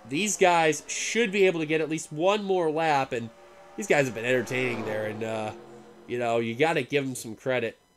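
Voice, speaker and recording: Over noticeable background noise, a man with a fairly high voice speaks at a moderate pace with lively intonation. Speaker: sim racing commentator. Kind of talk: live commentary. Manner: animated.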